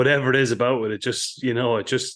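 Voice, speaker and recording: A man speaks at a very fast pace in a medium pitch. The background is quiet. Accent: Irish. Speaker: podcast host, hunting writer. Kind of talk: scripted intro; casual chat.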